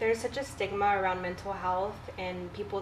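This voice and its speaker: In an American accent, a woman of medium pitch speaks at a moderate pace, with audible echo from the room. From Texas Coastal Bend. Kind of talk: casual chat. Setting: at her home.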